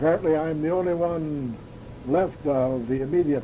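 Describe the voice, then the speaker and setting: A man speaks at a moderate pace with a fairly high pitch and ordinary pitch variation. The room echo is audible and the background noise noticeable. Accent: Upper Midwest. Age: 80s+. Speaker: family elder recording memories. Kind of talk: oral history recording. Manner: halting, frequent uhs.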